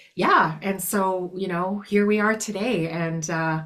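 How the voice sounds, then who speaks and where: With a Canadian accent, a woman talks in a fairly low pitch and fairly even intonation over noticeable background noise. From Canada, small farming community. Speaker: blues singer-songwriter. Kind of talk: interview conversation. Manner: halting, many fillers.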